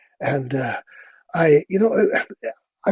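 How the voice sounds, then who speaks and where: A man with a Dutch accent speaks at a fairly high pitch. The sound is dry and close, with no echo. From Netherlands. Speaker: voice actor. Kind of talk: interview answer.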